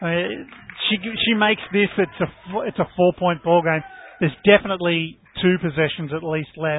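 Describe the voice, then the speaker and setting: Pitched high and speaking with an Australian accent, a man leaves long, frequent pauses amid noticeable background noise. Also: ordinary pitch variation, moderate pace. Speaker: basketball colour commentator. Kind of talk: live sports commentary.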